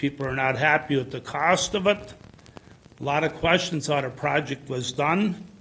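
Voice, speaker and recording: Bright and sharp in tone, a man's voice sits fairly high in pitch. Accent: Upper Midwest. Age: 70s. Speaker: farmer. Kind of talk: public hearing testimony. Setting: at a microphone in a public meeting.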